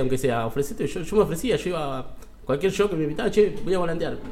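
A man speaks with an Argentine accent and lively intonation. There is noticeable background noise. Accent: Rioplatense Argentine Spanish. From Buenos Aires, Argentina. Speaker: stand-up comedian. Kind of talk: casual interview. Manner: halting.

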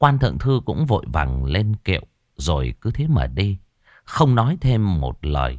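Someone does plain reading aloud, and the background is quiet.

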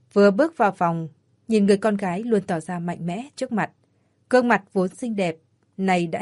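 The speaker does plain reading aloud with ordinary pitch variation. The background is quiet.

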